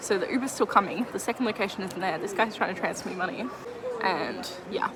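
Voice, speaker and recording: Amid noticeable background noise, a woman talks very fast at a medium pitch. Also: ordinary pitch variation. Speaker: artist vlogger selling at a market. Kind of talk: vlog talking to camera. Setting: market stall with customers. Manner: chatty, fast.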